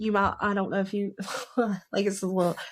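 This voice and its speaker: A woman talks at a fairly quick pace with a strong Southern US accent. The recording is very clean, with a silent background. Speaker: author. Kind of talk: casual chat.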